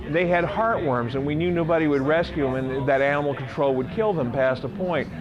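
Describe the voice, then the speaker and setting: With music in the background and audible room echo, a man talks in a fairly high pitch at a fairly quick pace. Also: ordinary pitch variation. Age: 60s. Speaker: rock musician and songwriter. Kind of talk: interview. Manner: casual, hesitant with many fillers.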